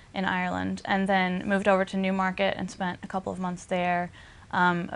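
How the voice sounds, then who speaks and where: Very fast, monotone speech with flat intonation and a slight Southern US accent, over a quiet background. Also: woman. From US South, Arkansas. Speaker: equine industry trainee. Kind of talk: interview.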